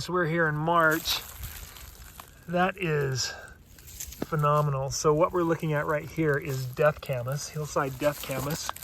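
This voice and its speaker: Noticeable background noise runs behind this recording. A man speaks at a fairly slow pace. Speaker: foraging guide. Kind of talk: outdoor nature tutorial. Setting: outdoors.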